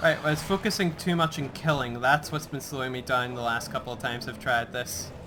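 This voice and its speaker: A man talks at a fairly quick pace with hardly any pauses over noticeable background noise. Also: medium pitch for a man, ordinary pitch variation. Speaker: gaming let's play host. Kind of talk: gameplay commentary.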